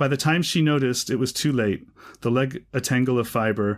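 A man with a plain, everyday voice at a fairly quick pace, in a very clean recording with a silent background. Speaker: podcast host, writer and teacher. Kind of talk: casual literary discussion.

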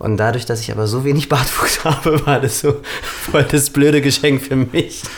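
Noticeable background noise sits under a man speaking at a moderate pace. His pitch is fairly high and his intonation fairly even. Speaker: podcast co-host. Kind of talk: casual chat.

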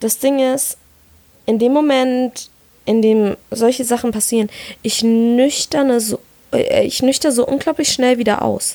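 A woman speaks at a high pitch in a dark, mellow tone. Her pace is fairly slow and her intonation fairly even, with long, frequent pauses. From Palatinate, Germany. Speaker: podcast co-host. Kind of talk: casual chat.

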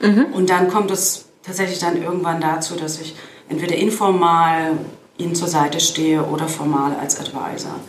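A woman's fairly low voice at a moderate pace, fairly even intonation, audible room echo and noticeable background noise. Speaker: fintech advisor and former bank executive. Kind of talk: interview. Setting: in person at a conference in Berlin.

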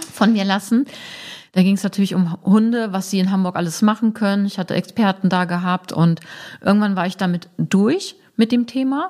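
With a dark, mellow tone and a somewhat breathy quality, a woman speaks at a medium pitch with fairly even intonation. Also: moderate pace, very clean recording, silent background. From northern Germany, Braunschweig. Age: 40s. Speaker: sex counselor and presenter. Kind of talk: casual interview.

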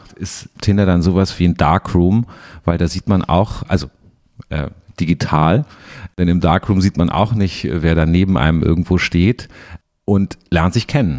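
A man's very deep, low voice at a fairly slow pace, in a dry, close sound with no echo. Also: ordinary pitch variation. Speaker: podcast host, culture journalist. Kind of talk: interview. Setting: studio in Berlin.

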